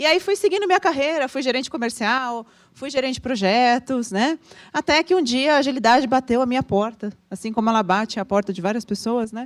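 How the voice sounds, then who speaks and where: A woman with a high pitch and lively intonation speaks at a fairly quick pace in a dry, close recording with no echo. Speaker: agile consultant, panel speaker. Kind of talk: talk at a meetup.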